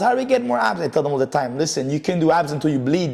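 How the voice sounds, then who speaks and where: A man speaks over noticeable background noise. His pitch swings very widely. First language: French. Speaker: personal trainer and podcast host. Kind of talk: podcast interview.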